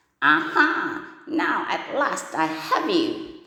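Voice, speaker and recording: A woman puts on a character voice, growling and raspy at an extremely high pitch and a very slow pace, with a clear echo around her. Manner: gloating, delighted growl.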